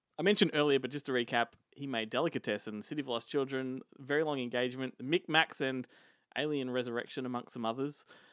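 Over a silent background in a very clean recording, a man with an Australian accent talks at a very fast pace and medium pitch. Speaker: film podcast host. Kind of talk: casual chat.

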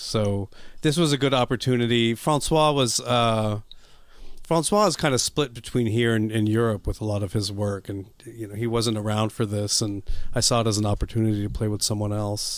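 A man's unremarkable speaking voice with an American accent, medium pitch, ordinary pitch variation and a moderate pace. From US. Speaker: jazz saxophonist. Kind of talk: interview.

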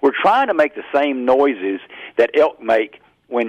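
A man talks with a Southern US accent. His pitch is fairly high. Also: dry, close sound with no echo, quiet background. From Mississippi. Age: 50s. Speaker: hunting call maker. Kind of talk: interview.

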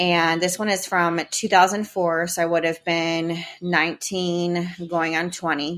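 A woman with a fairly low pitch and an American accent, flat monotone intonation at a fairly slow pace, on a very clean recording with a silent background. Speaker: podcaster. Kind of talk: casual chat; poem performed aloud, reading a teenage diary poem.

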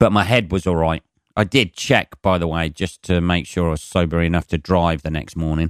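A man with a very deep, low voice talks at a fairly quick pace with ordinary pitch variation, in a dry, close sound with no echo on a very clean recording with a silent background. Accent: English. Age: 40s. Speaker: comedian. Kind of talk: casual chat. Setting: home.

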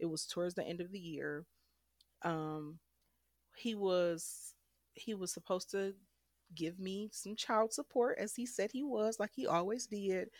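A woman with an American accent, medium in pitch, speaking at a fairly slow pace with ordinary pitch variation and long, frequent pauses. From Detroit, Michigan. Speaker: domestic violence survivor. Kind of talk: interview testimony.

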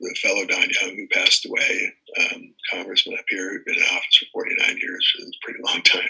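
A man with an American accent is speaking. His voice is raised and projected. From US East Coast. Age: 70s. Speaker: congressional candidate and city council member. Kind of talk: interview.

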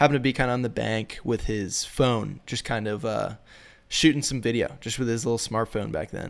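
In an American accent, an ordinary speaking voice moves at a fairly quick pace with ordinary pitch variation. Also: man. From Minnesota, US Midwest. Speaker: fly fishing filmmaker. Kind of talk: casual interview chat. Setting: remote call.

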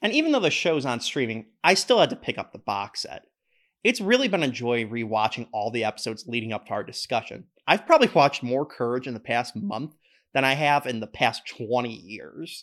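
Lively intonation marks a man's unremarkable speaking voice, which has a medium pitch and a fairly quick pace. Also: very clean recording, silent background. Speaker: podcast host. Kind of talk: casual interview.

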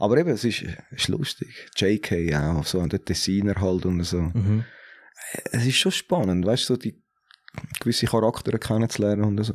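Speaking with a Zurich accent, a man with a fairly low pitch uses lively intonation and leaves long, frequent pauses. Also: moderate pace. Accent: Zurich Swiss German. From Zurich, Switzerland. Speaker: hip-hop DJ. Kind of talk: casual chat.

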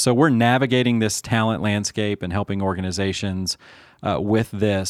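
In a very clean recording with a silent background, a man with a normal speaking voice talks fairly quickly at a fairly low pitch. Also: dry, close sound with no echo. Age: 40s. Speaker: podcast host. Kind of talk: casual chat.

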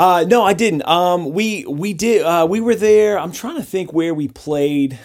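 Speaking fairly slowly with hardly any pauses, a man uses a high pitch and ordinary pitch variation. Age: 30s. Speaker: punk band singer and guitarist. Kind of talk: casual interview.

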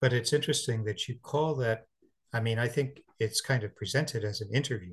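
Over a quiet background, a man speaks at a moderate pace and medium pitch. His voice is somewhat breathy, with ordinary pitch variation. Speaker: podcast host. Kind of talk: interview intro and conversation.

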